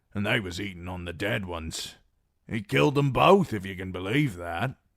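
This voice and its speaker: A man uses a put-on character voice that is raspy and very deep, with lively intonation and big swings in loudness. He keeps a moderate pace on a very clean recording with a silent background. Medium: read story. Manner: rough, simple speech.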